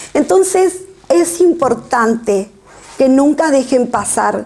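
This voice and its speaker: High-pitched woman's voice with lively intonation, over noticeable background noise. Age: 60s. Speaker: author. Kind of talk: book presentation talk. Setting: public event with audience.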